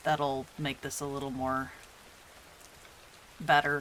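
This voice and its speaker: A soft-spoken voice moves at a moderate pace through noticeable background noise. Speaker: streamer and artist. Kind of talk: casual live stream chat. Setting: live stream. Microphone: adjusted mic settings, may be too quiet.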